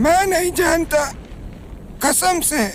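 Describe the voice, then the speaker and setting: Over clear background noise, someone uses a put-on character voice pitched high. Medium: fan dub. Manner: hushed, storytelling dread.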